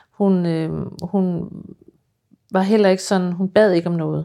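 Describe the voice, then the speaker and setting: A woman speaks at a very slow pace with a fairly low pitch. The recording is very clean, with a silent background. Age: 50s. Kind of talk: interview.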